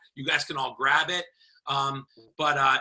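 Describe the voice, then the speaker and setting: Loud and at a fairly quick pace, a man speaks in a bright, sharp tone. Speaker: network marketing team leader. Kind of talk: video call.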